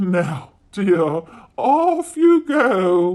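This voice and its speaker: This is a put-on character voice pitched in the middle range. Its pitch swings very widely up and down. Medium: read story. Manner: warm, motherly.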